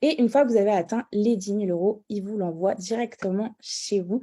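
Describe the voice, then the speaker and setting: This woman's voice has a dark, mellow tone, a medium pitch and ordinary pitch variation. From Paris region, France. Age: 30s. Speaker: network marketing distributor. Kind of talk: sales pitch.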